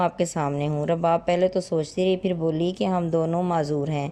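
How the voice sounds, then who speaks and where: The woman's voice sits fairly low in pitch. It has a dark, mellow tone and fairly even intonation. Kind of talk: moral story narration.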